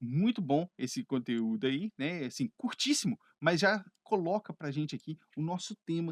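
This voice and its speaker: Very wide pitch swings mark this man's fairly high voice at a moderate pace. The recording is very clean, with a silent background and a dry, close sound with no echo. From Brazil (Minas Gerais), living in Canada. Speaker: English teacher. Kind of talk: educational video lesson to camera. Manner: conversational, friendly.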